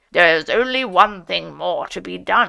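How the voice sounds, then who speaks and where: A woman growls in a put-on character voice. Her pace is moderate. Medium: read story. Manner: solemn, oratorical.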